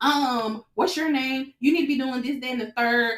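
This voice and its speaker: Loud and animated, a woman speaks at a high pitch and a fairly quick pace with ordinary pitch variation. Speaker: podcast host. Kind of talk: casual chat. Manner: loud, direct.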